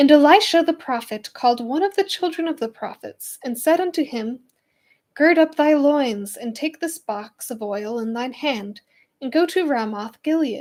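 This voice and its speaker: At a moderate pace, a woman with a high pitch speaks with lively intonation in a very clean recording with a silent background. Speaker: Bible reading channel host. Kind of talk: reading aloud. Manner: halting.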